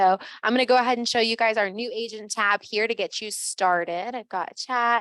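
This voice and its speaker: A woman's fairly high, bright and sharp voice with fairly even intonation. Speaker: real estate office trainer. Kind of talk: orientation presentation. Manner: fast.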